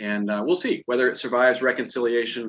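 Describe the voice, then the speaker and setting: A man speaks at a moderate pace. He has an ordinary speaking voice. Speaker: financial advisor presenting a webinar. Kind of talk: webinar presentation. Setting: online webinar.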